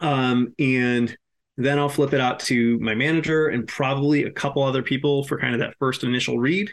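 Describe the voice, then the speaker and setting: An unremarkable speaking voice from a man with an American accent, medium pitch, fairly even intonation and very even loudness. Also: moderate pace. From Massachusetts. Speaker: screenwriter. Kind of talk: casual chat.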